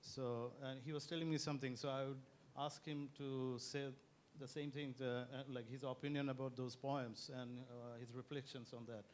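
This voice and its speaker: A man speaks at medium pitch in a flat monotone. Audible room echo surrounds the voice. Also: moderate pace. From Bangladesh. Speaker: interviewer. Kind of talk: stage interview. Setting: stage with audience.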